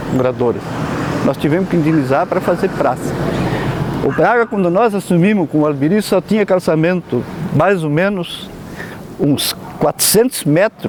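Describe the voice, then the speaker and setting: Lively intonation from a man with a high pitch, at a moderate pace, over noticeable background noise. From Rio Grande do Sul, Brazil. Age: 70s. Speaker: former local politician. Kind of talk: oral history interview. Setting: outdoors in a town square.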